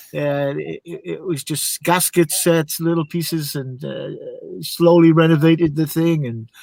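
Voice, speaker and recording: With a plain, everyday voice and a fairly high pitch, a man speaks at a moderate pace with ordinary pitch variation in a dry, close sound with no echo. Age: 60s. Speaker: car hobbyist. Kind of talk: casual chat.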